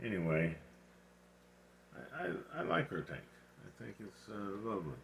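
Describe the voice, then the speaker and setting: Vocal fry runs through speech at a fairly slow pace, with very wide pitch swings. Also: man. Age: 70s. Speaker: aquarium hobbyist. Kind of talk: casual video tour. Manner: halting, many fillers.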